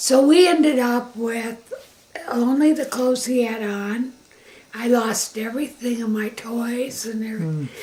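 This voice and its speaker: Against noticeable background noise, the speaker goes at a fairly slow pace. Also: woman, high pitch for a woman, ordinary pitch variation. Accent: Michigan. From Michigan, Grand Rapids area. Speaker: interviewee recounting life story. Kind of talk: family oral history interview.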